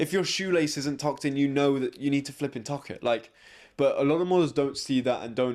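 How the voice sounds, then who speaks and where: In a very clean recording with a silent background, a man speaks with an English accent. His pitch is fairly high, with ordinary pitch variation. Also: fairly quick pace. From England. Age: 20s. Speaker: fashion model. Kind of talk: interview.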